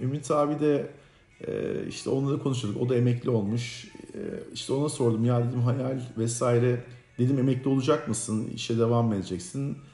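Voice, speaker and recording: Audible room echo surrounds a man speaking at a fairly quick pace, medium in pitch with fairly even intonation. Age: 40s. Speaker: podcast co-host. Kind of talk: casual chat.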